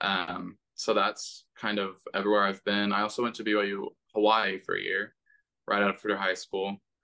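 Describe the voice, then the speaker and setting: At a moderate pace, a man with an American accent speaks in a bright, sharp tone at fairly low pitch with monotone, flat intonation. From Texas (Houston area, San Antonio). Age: 20s. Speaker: singer. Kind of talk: interview. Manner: laid-back, monotone.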